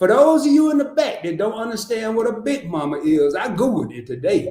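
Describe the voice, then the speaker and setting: A man's high, animated voice in a Southern US accent, fairly quick and full of very wide pitch swings. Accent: Southern country. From US South, Arkansas. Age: 50s. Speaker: content creator. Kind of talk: casual chat. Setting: live stream.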